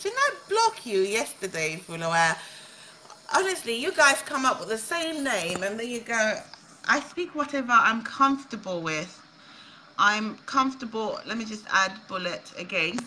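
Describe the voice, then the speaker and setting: Over light background noise, a woman speaks at a moderate pace in a fairly high pitch, with very wide pitch swings and big swings in loudness. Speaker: social media livestreamer and aspiring politician. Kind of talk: casual livestream chat with viewers. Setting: live video stream on Facebook. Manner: animated, laughs often. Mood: exasperated, argumentative. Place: kitchen. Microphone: phone near.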